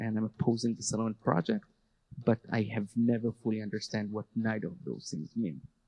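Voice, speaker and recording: A man speaks with an Israeli accent. His pitch sits in the medium range. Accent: Hebrew. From Israel, Jerusalem. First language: Hebrew. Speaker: army veteran and educator. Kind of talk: panel talk. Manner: halting.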